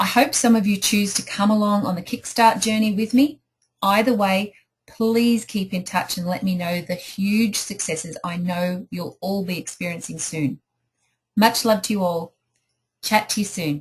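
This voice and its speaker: A somewhat breathy voice with an Australian accent, ordinary pitch variation and a moderate pace. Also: woman, medium pitch for a woman. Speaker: life coach. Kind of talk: online group coaching talk. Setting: home office. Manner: enthusiastic.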